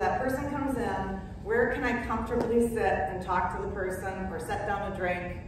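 With an American accent, a woman speaks at a moderate pace in a high pitch, her intonation lively. Strong room echo and noticeable background noise fill the recording. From Minnesota. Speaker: interior designer and color consultant. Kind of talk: talk to a club audience. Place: hall. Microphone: camera far.

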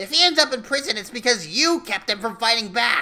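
In a put-on character voice that sounds female, someone talks at a fairly quick pace with a fairly high pitch. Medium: audio drama. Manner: aggressive, mocking, impatient; brash, gleeful.

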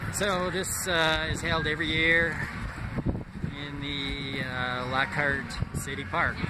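The man's voice is dry and echo-free, though loud noise fills the background. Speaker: vlogger filming a walk. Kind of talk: casual vlog chat. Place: street. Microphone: phone near.

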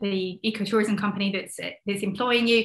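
Speaking with a southern English accent at a moderate pace, a woman keeps her medium pitch monotone and flat. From London. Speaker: conservationist and ecotourism advocate. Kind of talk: casual interview.

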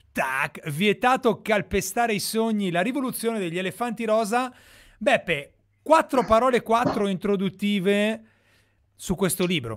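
A high-voiced man speaks at a fairly slow pace against a quiet background. His intonation is lively, and he takes long, frequent pauses. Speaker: web show host. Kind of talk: casual chat. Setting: video call. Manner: animated. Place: home room. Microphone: studio mic.

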